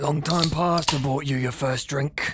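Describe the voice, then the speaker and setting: A man does a raspy, put-on character voice at a fairly high pitch with monotone, flat intonation. Music plays in the background. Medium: fan dub. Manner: coarse, aggressive.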